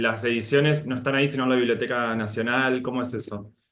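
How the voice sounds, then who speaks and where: Speaking with an Argentine accent, a man uses a medium pitch and fairly even intonation. He moves at a fairly quick pace. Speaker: moderator. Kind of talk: interview.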